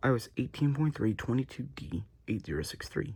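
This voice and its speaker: A man speaks with vocal fry. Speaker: tech youtuber. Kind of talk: casual tech review. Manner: casual, informal.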